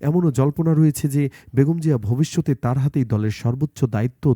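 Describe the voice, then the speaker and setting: On a very clean recording with a silent background and a dry, close sound with no echo, the voice carries a dark, mellow tone and ordinary pitch variation. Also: man. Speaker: news video narrator. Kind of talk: scripted narration.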